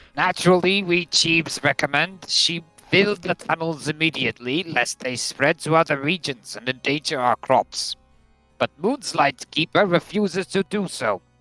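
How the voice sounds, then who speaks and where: A man puts on a gruff, high-pitched character voice at a moderate pace with ordinary pitch variation. The sound is dry and close with no echo, with faint music in the background. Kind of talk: comic game role-play. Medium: game stream.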